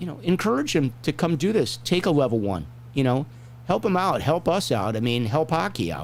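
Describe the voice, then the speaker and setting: A man speaks at a fairly quick pace with a medium pitch and vocal fry. His pitch swings very widely. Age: 60s. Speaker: hockey referee and show host. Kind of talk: casual chat.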